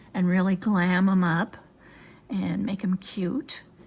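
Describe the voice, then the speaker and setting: Very slowly, a woman speaks with an American accent. Her voice is somewhat breathy, with a dark, mellow tone. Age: 70s. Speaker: sewing and crafts YouTuber. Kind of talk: tutorial. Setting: home sewing room with windows open. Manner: casual, chatty with fillers.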